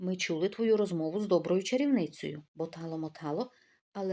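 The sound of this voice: The setting is quiet. An unforced reading voice carries ordinary pitch variation.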